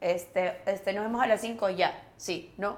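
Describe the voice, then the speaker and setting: A woman uses a normal speaking voice at a moderate pace. Her pitch varies an ordinary amount. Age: 40s. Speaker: actress. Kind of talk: casual chat.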